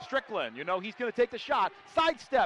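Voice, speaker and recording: The voice shows very wide pitch swings in a dry sound with no echo. Crowd noise fills the background. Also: man. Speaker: play-by-play announcer. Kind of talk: live sports commentary. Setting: arena broadcast with crowd. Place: stadium. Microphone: headset.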